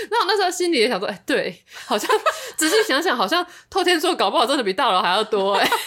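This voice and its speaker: Very fast speech with very wide pitch swings plays against noticeable background noise. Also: woman, high pitch for a woman. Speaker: podcast co-host. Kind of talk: casual chat.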